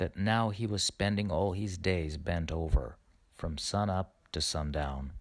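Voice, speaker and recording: Recorded very cleanly with a silent background, a man speaks with a very deep, low pitch. His pace is fairly slow and his intonation lively. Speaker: storyteller. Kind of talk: fairy tale reading.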